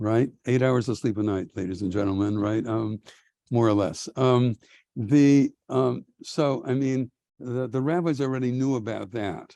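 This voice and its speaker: Against a quiet background, a man speaks at a fairly slow pace in a dark, mellow tone. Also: medium pitch for a man, ordinary pitch variation. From US Midwest, Milwaukee. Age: 70s. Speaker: rabbi and professor. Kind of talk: lecture. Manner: halting, many filler ums.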